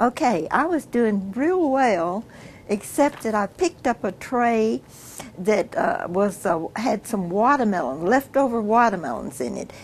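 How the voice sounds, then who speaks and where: A woman speaks at a fairly slow pace with a Texan accent, her pitch fairly high and swinging very widely. Noticeable background noise runs beneath her voice. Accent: Texan Southern US. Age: 80s+. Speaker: family elder interviewee. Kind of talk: family oral history interview. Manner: halting with frequent fillers.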